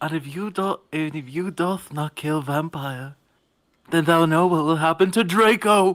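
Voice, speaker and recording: In a put-on character voice at a middle pitch, the speaker goes at a moderate pace on a very clean recording with a silent background. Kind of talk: comic overacting. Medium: read story. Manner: mock-archaic, pompous, commanding.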